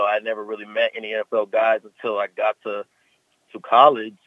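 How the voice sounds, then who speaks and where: Here is a normal speaking voice with fairly even intonation. Its pace is moderate. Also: man. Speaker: pro football player. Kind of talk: radio interview. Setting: phone call.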